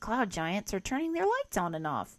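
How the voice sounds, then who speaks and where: A put-on character voice from a female-sounding speaker, medium in pitch, raised and projected, with very wide pitch swings at a moderate pace, on a very clean recording with a silent background. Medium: read story. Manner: upbeat, playful.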